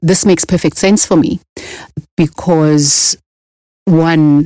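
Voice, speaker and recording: Very slow woman's voice with a South African accent, fairly low and dark and mellow, fairly even in intonation, in a dry, close sound with no echo. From rural South Africa. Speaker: podcast host. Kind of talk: podcast interview.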